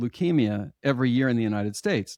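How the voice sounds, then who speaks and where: In a normal speaking voice at a moderate pace, a man talks at medium pitch, with a dry, close sound, no echo, and a quiet background. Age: 60s. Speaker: hypnotherapist. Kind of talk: interview.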